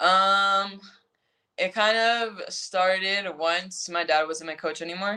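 Very slowly, a woman speaks at medium pitch with an American accent, her tone bright and sharp and her intonation fairly even. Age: 20s. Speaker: professional soccer player. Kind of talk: casual interview.

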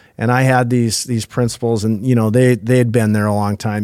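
Here a man speaks with a fairly low pitch and a dark, mellow tone. His intonation is monotone and flat, on a very clean recording with a silent background. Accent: Minnesota. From northwest Minnesota. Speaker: human resources executive, former educator. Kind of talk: interview conversation.

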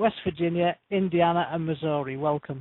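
A woman speaks in an ordinary speaking voice at a moderate pace, her pitch fairly low. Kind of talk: radio show conversation. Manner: cheerful, chatty.

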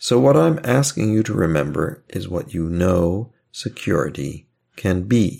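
Very slowly and in a calm, soothing tone, a man with a very deep, low voice speaks with very wide pitch swings. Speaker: hypnotherapist guiding listeners. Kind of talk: guided hypnosis induction. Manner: slow, calm, soothing, hushed and unhurried.

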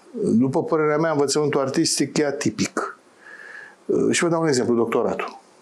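A man with a fairly high pitch talks at a fairly quick pace with ordinary pitch variation and very even loudness, yet leaves long, frequent pauses. Noticeable background noise runs behind him. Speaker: theatre director. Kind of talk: interview.

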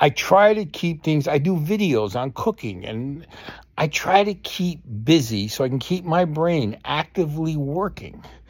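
Speaking fairly slowly in a normal speaking voice, the man has a fairly high pitch and lively intonation. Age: 60s. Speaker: podcast host. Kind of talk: personal monologue. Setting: at home.

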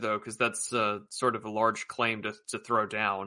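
A man with an American accent speaks in a bright, sharp tone. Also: quiet background. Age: 20s. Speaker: podcast host. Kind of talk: casual interview conversation.

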